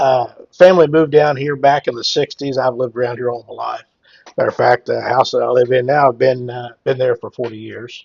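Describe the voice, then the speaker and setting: A man in a Midwestern US accent speaks with big swings in loudness. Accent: rural Midwestern American. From Cass County, Missouri area (US Midwest). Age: 60s. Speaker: hemp entrepreneur and farmer. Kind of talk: casual interview chat. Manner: halting, many fillers.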